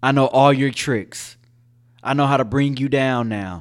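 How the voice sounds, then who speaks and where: On a very clean recording with a silent background, a man speaks at a moderate pace with a medium pitch. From Richmond, California (Bay Area). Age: 20s. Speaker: city council candidate. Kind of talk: casual interview.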